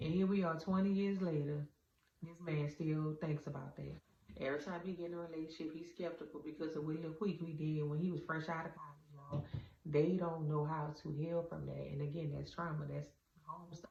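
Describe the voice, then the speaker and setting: Noticeable background noise sits behind a woman with a very deep, low pitch. She talks fairly quickly in a monotone, flat intonation. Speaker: vlogger. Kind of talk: casual monologue. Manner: halting.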